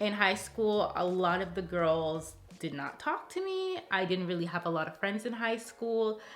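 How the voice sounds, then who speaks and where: A woman's ordinary pitch variation comes through amid audible room echo. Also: medium pitch for a woman, moderate pace. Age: 30s. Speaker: lifestyle vlogger. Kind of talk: casual Q&A vlog. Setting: alone in a room talking to camera. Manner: animated.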